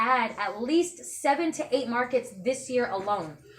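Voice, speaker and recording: A woman speaks at a high pitch with ordinary pitch variation. Music plays in the background. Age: 20s. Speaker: direct sales presenter. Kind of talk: sales pitch. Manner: fast.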